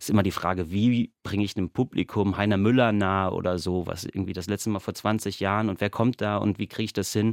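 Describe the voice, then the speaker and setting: Speaking very fast with a fairly low pitch and fairly even intonation, a man is heard in a dry, close sound with no echo on a very clean recording with a silent background. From western Germany (Bochum, Ruhr area). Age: 30s. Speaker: theatre dramaturge. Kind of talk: radio interview.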